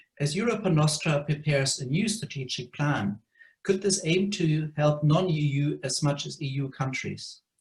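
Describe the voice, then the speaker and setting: A man speaks with a fairly high pitch and a somewhat breathy quality. His pace is fairly slow. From Germany. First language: German. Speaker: heritage trust director. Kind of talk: question at online meeting.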